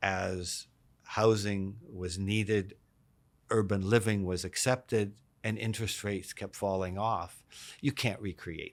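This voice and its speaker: Speaking fairly slowly with a Canadian accent, the voice is an unremarkable speaking voice with fairly even intonation and big swings in loudness, recorded very cleanly against a silent background. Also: man, fairly low pitch for a man. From Canada, Vancouver. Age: 60s. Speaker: real estate executive. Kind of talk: interview. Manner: repetitive restarts.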